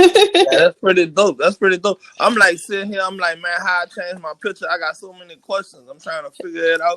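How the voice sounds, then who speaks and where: A strong New Orleans accent at a fairly quick pace, with big swings in loudness, hardly any pauses, and a dry, close sound with no echo. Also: man. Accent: thick New Orleans. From New Orleans, Louisiana. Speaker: rapper. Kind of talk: casual interview. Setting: live online radio show.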